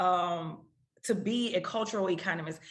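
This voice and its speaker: Audible room echo surrounds a woman with a New Orleans accent whose bright, sharp tone carries ordinary pitch variation. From US South, New Orleans. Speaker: economics researcher. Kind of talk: lecture.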